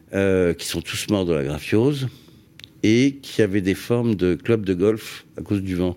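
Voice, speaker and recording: A man's fairly low, dark, mellow voice moves at a fairly slow pace with ordinary pitch variation. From France, Paris region and Île de Ré. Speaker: landscape gardener. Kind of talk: radio interview. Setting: radio studio. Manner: halting, many hesitations.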